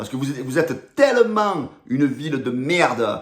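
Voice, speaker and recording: A man's fairly high, animated voice with lively intonation and a Marseille accent. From Marseille, southern France. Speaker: football fan youtuber. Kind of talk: rant to camera.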